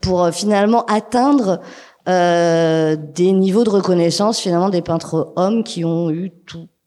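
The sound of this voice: Her voice dark and mellow, a woman speaks at a fairly slow pace with a fairly low pitch and ordinary pitch variation.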